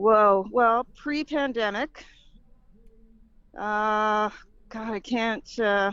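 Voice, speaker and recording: Her voice fairly high, a woman speaks at a very slow pace. She leaves long, frequent pauses. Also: ordinary pitch variation. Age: 60s. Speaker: singer-songwriter. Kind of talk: casual chat.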